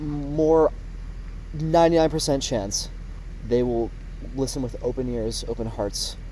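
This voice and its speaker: Fairly slow speech with long, frequent pauses, plus noticeable background noise and audible room echo. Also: man. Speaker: college student podcast host. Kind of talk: casual chat.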